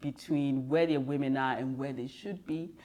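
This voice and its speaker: The speaker is a woman with a Ghanaian accent. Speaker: business leader, diversity and inclusion consultant. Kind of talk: interview. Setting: in person.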